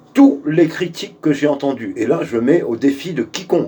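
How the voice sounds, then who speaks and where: Noticeable background noise behind a man whose voice runs fairly high. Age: 60s. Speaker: political activist. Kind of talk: video address to supporters. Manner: hesitant, many fillers; forceful.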